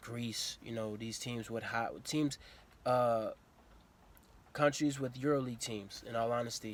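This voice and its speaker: In a very clean recording with a silent background, a man with an American accent talks at a moderate pace and medium pitch. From US South, Atlanta, Georgia. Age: 20s. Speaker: professional basketball player. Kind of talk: casual vlog monologue.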